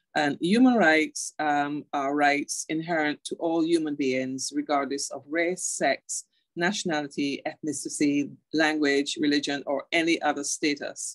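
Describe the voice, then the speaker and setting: A woman speaks with a Barbadian accent and a very deep, low pitch. Her intonation is fairly even, and the sound is dry and close with no echo. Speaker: internet governance and human rights advocate. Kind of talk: online lecture.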